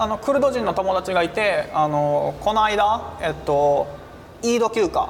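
A man's high-pitched voice at a fairly slow pace, with lively intonation, very even loudness and noticeable background noise. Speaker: humanitarian aid worker. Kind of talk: interview.

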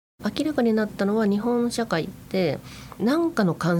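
Woman at a moderate pace with very wide pitch swings. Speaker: writer and activist. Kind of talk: interview talk. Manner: hesitant with fillers.

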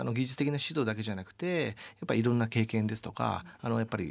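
A man speaks at a fairly quick pace in a medium pitch. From Japan, Yamaguchi Prefecture. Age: 40s. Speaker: sports team executive. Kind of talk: radio interview. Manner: polite formal.

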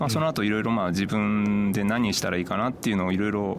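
The man's pitch is fairly low. He talks at a fairly quick pace. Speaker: travel bookshop owner. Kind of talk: radio interview. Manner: hesitant, many fillers.

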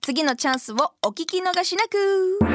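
Her pitch is extremely high for a woman, and her pace is fairly slow. The sound is dry and close, with no echo. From Tokyo, Japan. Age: 20s. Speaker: podcast co-host, model and radio presenter. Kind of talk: casual chat.

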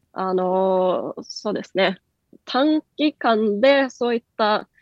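A woman's fairly high-pitched, unremarkable speaking voice with ordinary pitch variation. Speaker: company executive. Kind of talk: radio interview.

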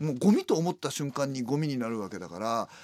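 A man with a normal speaking voice talks at a medium pitch and a fairly quick pace, with lively intonation. The sound is dry and close with no echo, in a very clean recording with a silent background. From Tokyo, Adachi ward. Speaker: comedian and garbage collector. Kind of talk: casual interview chat.

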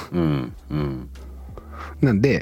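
A man's voice with very wide pitch swings and noticeable background noise. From Okayama, Japan. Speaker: chef. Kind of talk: casual interview.

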